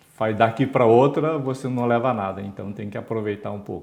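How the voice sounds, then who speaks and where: A man speaks at a moderate pace in an unremarkable speaking voice with ordinary pitch variation. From Brazil, São Paulo state interior. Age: 60s. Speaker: retired engineer and former executive. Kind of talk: interview.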